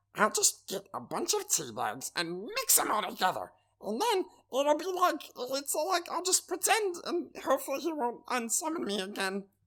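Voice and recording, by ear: In a put-on character voice, the speaker goes high in pitch with very wide swings, keeping a moderate pace.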